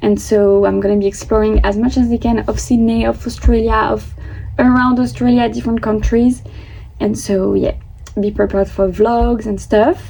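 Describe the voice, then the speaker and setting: Noticeable background noise sits behind the speaker. A woman with a French accent talks at a moderate pace. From France. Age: 20s. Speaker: vlogger. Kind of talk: casual vlog monologue.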